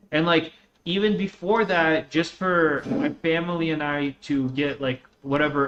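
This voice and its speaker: This man's pitch is fairly high. He speaks at a moderate pace with ordinary pitch variation. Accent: slight Russian. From born in Russia, raised on US West Coast from age 11. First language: Russian. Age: 20s. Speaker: gaming streamer. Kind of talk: casual chat.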